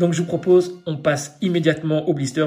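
A somewhat breathy man at a fairly quick pace. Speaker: toy collector youtuber. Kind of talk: product unboxing tutorial. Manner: fast; animated.

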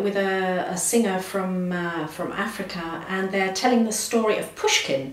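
There is audible room echo around a woman whose intonation stays fairly even. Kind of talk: interview answer.

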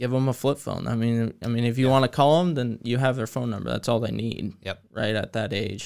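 A male speaker keeps his intonation fairly even, with a quiet background behind him. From US, Greene County; US. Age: 20s. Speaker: landscape designer and first responder; podcast guest. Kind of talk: casual chat. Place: studio. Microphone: studio mic.

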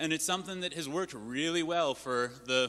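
A loud, fairly high-pitched man's voice with a bright, sharp tone at a moderate pace. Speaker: panelist, activist. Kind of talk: town hall panel remarks.

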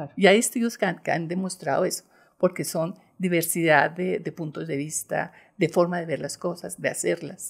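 This is a normal speaking voice with ordinary pitch variation. It moves at a moderate pace against a quiet background. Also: woman, fairly low pitch for a woman. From Bogotá, Colombia. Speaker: bank executive; guest. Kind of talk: interview. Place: studio. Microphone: studio mic.

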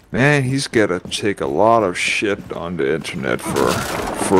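A man with a fairly low pitch talks at a fairly slow pace over noticeable background noise. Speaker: gaming YouTuber. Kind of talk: casual chat while gaming. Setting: online multiplayer game session.

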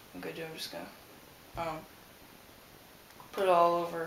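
A man mumbles amid light background noise and audible room echo. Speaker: model railroad hobbyist. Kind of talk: casual tutorial talk to camera. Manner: mumbling. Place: home room. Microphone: camera far.

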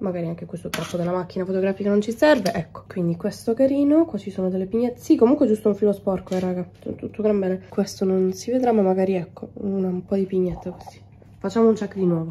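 Talking at a very fast pace, a woman has a dark, mellow, somewhat breathy tone and ordinary pitch variation. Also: medium pitch for a woman. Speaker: vegan recipe content creator. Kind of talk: casual vlog talk. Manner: animated.

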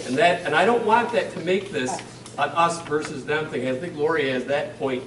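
At a very fast pace and with lively intonation, the voice carries audible room echo over light background noise. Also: man. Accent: American. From western New York, US. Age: 50s. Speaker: town supervisor; panel member. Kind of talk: public meeting remarks and answers. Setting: public meeting with audience and microphone. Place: hall. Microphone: camera far.

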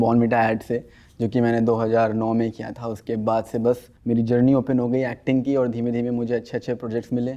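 With light background noise, a man talks at a moderate pace. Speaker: interview guest, actor. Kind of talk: interview answer. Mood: cheerful, laughing. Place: studio.

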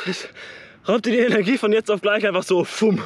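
A man's high-pitched voice at a fairly quick pace, fairly even in intonation, with a dry sound and no echo. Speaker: sports vlogger. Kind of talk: casual vlog chat. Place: open country. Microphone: phone near.

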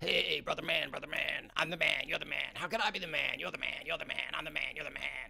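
Over light background noise, a man puts on a character voice, high-pitched and delivered at a fairly quick pace. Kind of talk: brash, 90s radio host.

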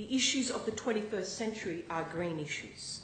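Her intonation lively and her pitch fairly high, a woman speaks with audible room echo and light background noise. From northern New South Wales, Australia. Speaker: newly elected state MP. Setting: parliament chamber, Legislative Assembly. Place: hall. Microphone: podium.

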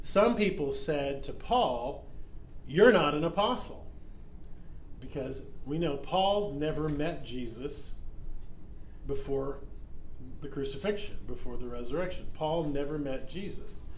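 At a fairly slow pace, a man speaks with a mild Oklahoma accent, with light background noise and audible room echo. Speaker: pastor. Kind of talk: Bible study teaching. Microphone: phone near.

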